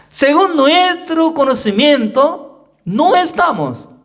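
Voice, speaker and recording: A man speaks at a very slow pace, with audible room echo in the recording. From South Korea. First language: Korean (speaking Spanish). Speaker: pastor. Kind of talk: sermon. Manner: simple, non-native phrasing with repetition.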